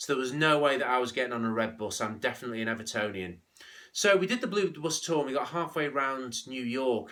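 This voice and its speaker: A man talks very fast with lively intonation and a bright, sharp tone. His pitch is medium, with a slight Scouse accent. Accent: slight Scouse twang. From northern England, St Helens on Merseyside. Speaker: business leadership speaker. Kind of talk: motivational business talk.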